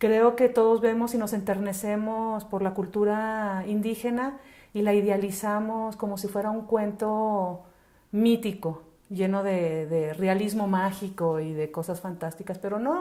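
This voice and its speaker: Medium in pitch and dark, mellow in tone, a woman talks at a fairly slow pace. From northern Mexico, Chihuahua and Ciudad Juárez. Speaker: children's charity worker. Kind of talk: interview.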